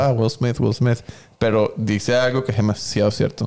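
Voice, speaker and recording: This man has a plain, everyday voice, medium in pitch, with fairly even intonation and a fairly quick pace. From Venezuela. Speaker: photographer. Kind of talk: casual interview chat.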